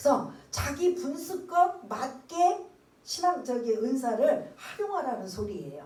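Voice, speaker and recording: Audible room echo surrounds a woman's high voice. She speaks very slowly, with very wide pitch swings. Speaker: pastor. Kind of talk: sermon.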